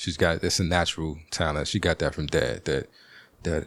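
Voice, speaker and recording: A man with an American accent speaks in a very deep, low pitch with vocal fry and fairly even intonation, on a very clean recording with a silent background. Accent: Baltimore accent, as heard by another person. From Washington, DC. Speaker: podcast host. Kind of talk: casual monologue.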